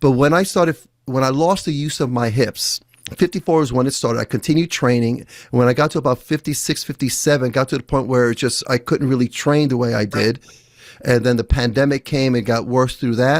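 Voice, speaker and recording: This man has an unremarkable speaking voice with a medium pitch and ordinary pitch variation, at a fairly quick pace. The recording is very clean with a silent background, dry and close with no echo. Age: 60s. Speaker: podcast host and former jiu-jitsu instructor. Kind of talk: casual interview conversation.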